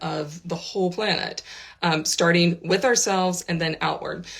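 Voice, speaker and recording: With an American accent, a woman talks at a moderate pace in a fairly low pitch, her intonation fairly even, over noticeable background noise. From United States. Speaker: spiritual teacher. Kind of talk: vlog. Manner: casual, with frequent fillers.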